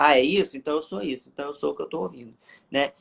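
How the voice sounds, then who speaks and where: Lively intonation and an animated tone mark this man's very fast speech. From Brazil, Rio de Janeiro. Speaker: evangelical preacher on social media. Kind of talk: testimony; casual chat. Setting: online live stream.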